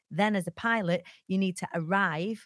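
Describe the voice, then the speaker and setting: Her voice sits at a medium pitch, with a northern English accent. The sound is dry and close, with no echo. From northern England. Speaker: motivational speaker. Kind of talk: interview. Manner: careful diction.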